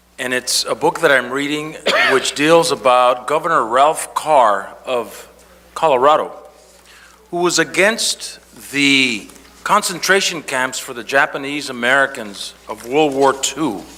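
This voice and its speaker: Noticeable background noise sits behind a man speaking at a fairly slow pace. His pitch is fairly high, with ordinary variation. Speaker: city council member. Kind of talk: council meeting remarks.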